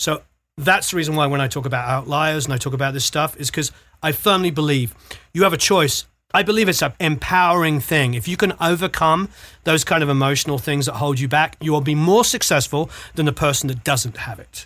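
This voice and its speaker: A man with a British accent talks at a fairly quick pace in a fairly high pitch with ordinary pitch variation. His tone is bright and sharp, and the recording is very clean with a silent background. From Britain. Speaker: music producer and mix engineer. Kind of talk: casual interview.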